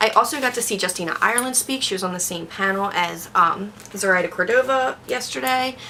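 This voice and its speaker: Speaking at a fairly quick pace with hardly any pauses, a woman of medium pitch uses lively intonation over noticeable background noise. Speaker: booktuber. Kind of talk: casual vlog talk.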